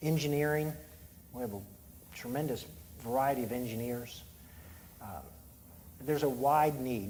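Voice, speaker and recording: A man's fairly high, somewhat breathy voice with audible room echo. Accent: American. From Eastern Shore of Maryland (Salisbury). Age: 60s. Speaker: poultry company executive. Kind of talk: onstage interview.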